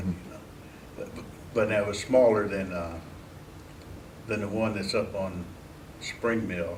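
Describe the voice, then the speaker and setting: A man with a Midwestern American accent, fairly low in pitch, at a fairly slow pace with long, frequent pauses, fairly even intonation and noticeable background noise. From Mansfield, Ohio. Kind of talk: oral history interview answer.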